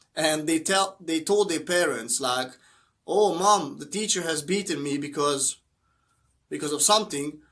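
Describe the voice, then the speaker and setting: This man has a Hungarian accent and a fairly high pitch. His tone is bright and sharp, and he speaks at a fairly slow pace. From Hungary. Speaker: motivational YouTuber. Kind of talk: motivational talk to camera. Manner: halting, with fillers.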